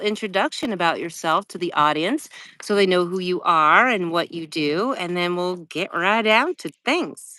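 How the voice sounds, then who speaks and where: Lively intonation marks this voice with an American accent. The pace is moderate, and the recording is very clean with a silent background. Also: woman. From Wyoming, USA. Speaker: voice over artist and live streaming coach. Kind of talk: interview host.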